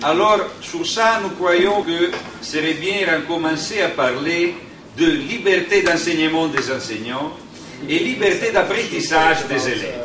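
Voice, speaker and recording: A man's high-pitched voice with an Italian accent, very slow and with lively intonation, amid audible room echo and noticeable background noise. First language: Italian (speaking French). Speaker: union delegate. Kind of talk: conference talk. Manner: slow, deliberate; halting.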